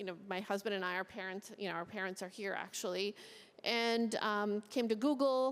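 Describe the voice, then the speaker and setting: Medium in pitch, a woman speaks with an American accent in an unremarkable speaking voice. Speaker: tech executive. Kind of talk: panel interview. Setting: stage with audience.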